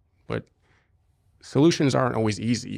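On a very clean recording with a silent background, a man with vocal fry talks at a very fast pace and a medium pitch, using ordinary pitch variation. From US Midwest, Cincinnati Ohio. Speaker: former soldier, security company founder. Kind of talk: interview. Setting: studio.

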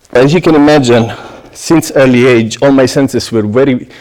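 Speaking at a moderate pace with an Italian accent, a man uses a medium pitch and ordinary pitch variation. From southern Italy, Apulia. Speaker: pastry chef. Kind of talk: prepared talk to an audience. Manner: halting, with frequent fillers.

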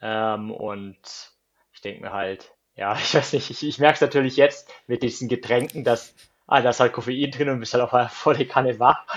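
A man with a normal speaking voice talks at a moderate pace and medium pitch, his intonation fairly even but his loudness swinging widely. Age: 30s. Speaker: marathon runner. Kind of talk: casual interview.

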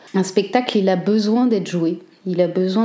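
Her pitch is medium for a woman, and her intonation stays fairly even. The woman keeps a moderate pace. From northern France, Cambrai. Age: 30s. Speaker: theatre director and actress. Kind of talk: personal testimony. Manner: hesitant, with fillers.

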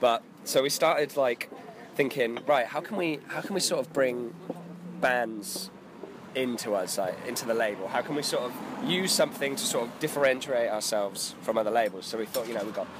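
With noticeable noise in the background, a man of medium pitch talks at a moderate pace with ordinary pitch variation. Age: 20s. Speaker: record label co-founder. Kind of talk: casual chat.

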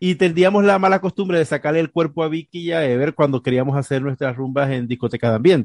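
The speech runs at a very fast pace with ordinary pitch variation and hardly any pauses. The sound is dry and close with no echo, over a quiet background. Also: man, fairly high pitch for a man. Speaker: podcast co-host. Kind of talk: casual chat.

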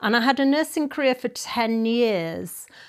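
Her pitch swinging very widely, a woman talks at a moderate pace on a very clean recording with a silent background. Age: 60s. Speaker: yoga teacher and business owner. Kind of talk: interview.

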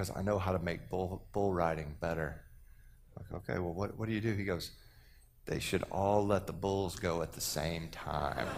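A man speaks with an American accent in a very deep, low pitch. Room echo is audible. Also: moderate pace. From Texas. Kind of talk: sermon. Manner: animated.

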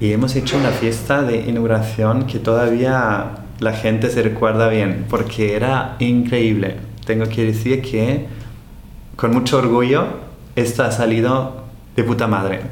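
A man with a German accent, monotone and flat in intonation at very even loudness, with audible room echo and noticeable background noise. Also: medium pitch for a man, fairly slow pace. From Austria. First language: German (speaking Spanish). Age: 40s. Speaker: hotel owner and entrepreneur. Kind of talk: interview. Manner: halting, many repetitions and fillers.

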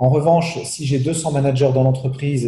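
The voice has a dark, mellow tone and is somewhat breathy. Its intonation is monotone and flat. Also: man. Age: 40s. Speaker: CEO and business speaker. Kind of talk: interview. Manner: hesitant, with many repetitions.

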